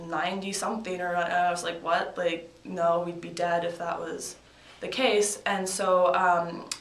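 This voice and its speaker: A woman with a slight Canadian accent speaks at a fairly slow pace in a fairly low voice with monotone, flat intonation. Noticeable background noise and audible room echo surround her. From Canada, Victoria, British Columbia. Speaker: college field hockey player. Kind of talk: casual interview.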